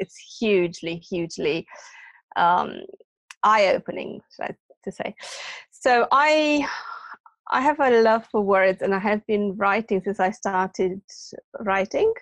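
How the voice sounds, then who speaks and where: In a Romanian accent, a woman speaks at a fairly slow pace with long, frequent pauses, in a dry, close sound with no echo. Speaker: academy founder and author. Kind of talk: interview. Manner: hesitant, many fillers.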